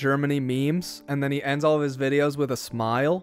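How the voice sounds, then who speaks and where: A man with an American accent talks at a fairly quick pace in an ordinary speaking voice, his pitch fairly high. The recording is very clean with a silent background. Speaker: programming streamer. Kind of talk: live stream chat. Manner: casual, conversational.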